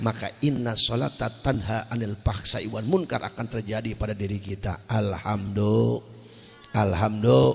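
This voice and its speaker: Music plays in the background. Over it, a man speaks in an animated tone at a fairly low pitch. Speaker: Islamic preacher. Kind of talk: sermon. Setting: stage with audience.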